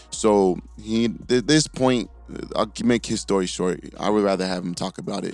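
Music plays in the background as a man talks. His voice is fairly low, with ordinary pitch variation and a moderate pace. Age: 20s. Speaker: strength coach and podcast host. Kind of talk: casual chat. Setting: studio.

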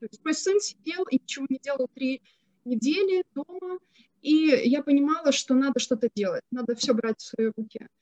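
Her intonation is lively and her pitch high, as this woman's loudness swings widely. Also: moderate pace. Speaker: social entrepreneur. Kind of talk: panel discussion.

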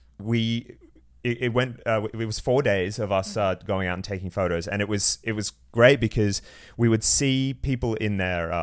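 With an Australian accent, a man of medium pitch speaks at a moderate pace and fairly even intonation in a very clean recording with a silent background. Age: 30s. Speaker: content creator. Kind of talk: casual chat. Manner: sarcastic, joking.

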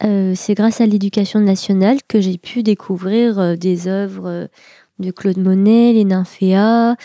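A woman at medium pitch, very slow pace and fairly even intonation, in a very clean recording with a silent background. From France, Seine-et-Marne. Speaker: artist. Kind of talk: interview.

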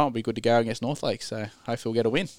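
Recorded very cleanly against a silent background, a man with an Australian accent speaks at a medium pitch. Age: 30s. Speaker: amateur rugby league player. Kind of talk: casual sports chat.

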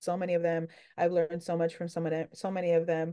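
Against a quiet background, a woman talks at a fairly quick pace. Hers is a plain, everyday voice at a medium pitch. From New York City. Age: 30s. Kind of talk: casual interview.

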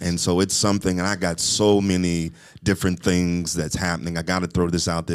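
Quite quickly and in a monotone, flat intonation, a man with an American accent and very deep, low pitch speaks in a very clean recording over a silent background. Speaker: podcast host and apostle. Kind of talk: casual chat. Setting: studio.

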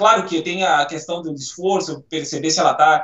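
A man speaks at a moderate pace. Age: 40s. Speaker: physical education professional. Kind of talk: casual chat.

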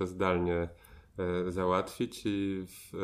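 A man's very deep, low voice in a monotone, flat intonation against a quiet background. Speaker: performance artist, podcast guest. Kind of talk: casual chat. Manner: halting, many filler pauses.

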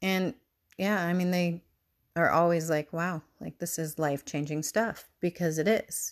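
A woman speaks at a moderate pace with a fairly low pitch and fairly even intonation. The recording is very clean, with a silent background. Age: 40s. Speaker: podcast host, human design reader. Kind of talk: solo podcast monologue.

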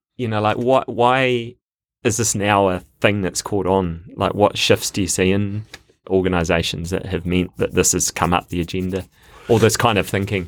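Speaking at a moderate pace, a man with a New Zealand accent keeps a fairly low pitch and fairly even intonation. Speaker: podcast host. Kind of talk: casual chat. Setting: studio.

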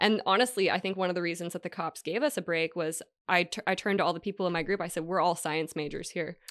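Against a quiet background, a woman speaks at a very fast pace with hardly any pauses. Her pitch is fairly low, with ordinary variation. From Hawaii. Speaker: cannabis science educator. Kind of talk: casual interview.

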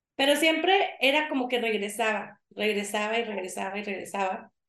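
A woman's fairly high voice at a fairly slow pace. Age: 40s. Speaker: yoga teacher. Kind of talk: interview.

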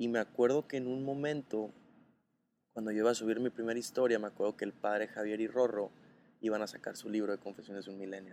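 At a very fast pace, a man speaks at a medium pitch with fairly even intonation. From Mexico, Sinaloa (Los Mochis). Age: 20s. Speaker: content creator. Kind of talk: casual chat. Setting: café in Mérida.

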